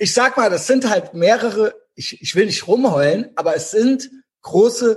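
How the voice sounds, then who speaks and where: The man speaks at a fairly slow pace. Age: 40s. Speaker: podcast co-host. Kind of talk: casual chat.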